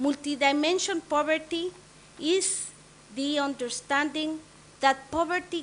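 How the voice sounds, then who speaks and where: The speech comes at a very slow pace with fairly even intonation. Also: woman. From Latin America. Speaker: UN agency representative. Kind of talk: formal speech at a launch event. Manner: formal.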